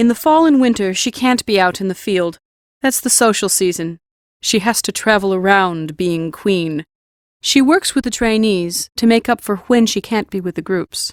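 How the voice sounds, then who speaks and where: A woman speaks in a put-on character voice with a calm tone. Her pitch is medium, her pace moderate and her intonation lively. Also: very clean recording, silent background. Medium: audio drama. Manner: calm, blunt.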